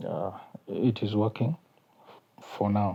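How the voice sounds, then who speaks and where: Here a man speaks with a South Sudanese accent. His pitch is fairly low, and his pace is very slow. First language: Kakwa. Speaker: YouTuber. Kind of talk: casual vlog talk. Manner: halting, many fillers.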